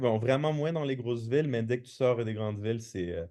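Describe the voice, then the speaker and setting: Over a quiet background, a man with a slight Québécois accent speaks at a moderate pace and medium pitch, his tone dark and mellow and his pitch variation ordinary. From Quebec, Montreal. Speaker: podcast guest. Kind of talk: casual chat. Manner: halting, many repetitions.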